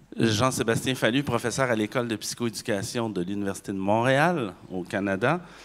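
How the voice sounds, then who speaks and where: A man with a Quebec accent at a moderate pace, ordinary pitch variation and hardly any pauses. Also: medium pitch for a man. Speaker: university professor. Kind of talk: conference panel talk.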